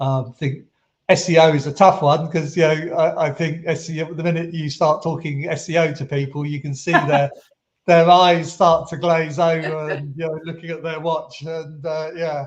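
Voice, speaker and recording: At a moderate pace, a man with a British accent speaks in a fairly high pitch with monotone, flat intonation. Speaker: SEO agency founder. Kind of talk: podcast interview answer.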